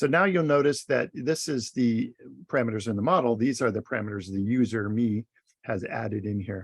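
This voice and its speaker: The sound is dry and close, with no echo. A man talks at a medium pitch, his voice rising and falling in an ordinary way. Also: fairly quick pace. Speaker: college instructor. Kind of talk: tutorial. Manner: hesitant, many fillers; loud.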